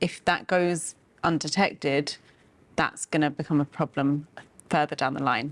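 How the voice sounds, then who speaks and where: With a British accent, a woman with a very deep, low-pitched voice speaks at a moderate pace, her loudness very even and her intonation fairly even, pausing long and often in a dry, close sound with no echo. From Britain. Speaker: podcast host. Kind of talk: interview.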